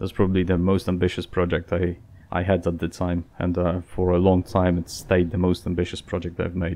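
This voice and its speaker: A fairly quick pace with monotone, flat intonation. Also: man, very deep, low pitch for a man. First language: Polish. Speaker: gaming YouTuber. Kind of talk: casual Q&A channel update. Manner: hesitant, many fillers.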